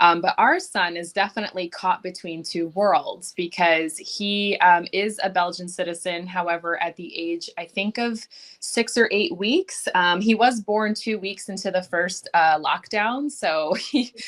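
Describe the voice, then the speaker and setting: A woman with an American accent talks at a fairly slow pace in a medium pitch, with ordinary pitch variation, hardly any pauses and an unremarkable speaking voice. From United States. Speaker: podcast panel guest, parent. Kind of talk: casual panel discussion.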